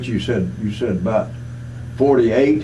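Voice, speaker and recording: Medium in pitch with fairly even intonation, a man speaks over noticeable background noise. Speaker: veterans hall secretary treasurer. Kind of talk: interviewer questions.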